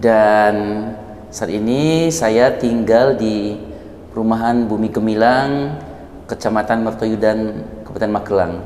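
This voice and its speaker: Very slow speech in a Minang accent, with audible room echo and noticeable background noise. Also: man, medium pitch for a man, ordinary pitch variation. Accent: Minang (Padang) accent, noticeable. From Padang, West Sumatra. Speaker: university lecturer. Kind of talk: interview.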